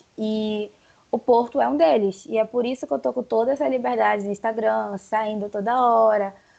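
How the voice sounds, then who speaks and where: Speaking at a moderate pace, a woman uses a normal speaking voice with a fairly high pitch. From Brazil, Pará. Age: 20s. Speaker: journalist. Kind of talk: casual chat.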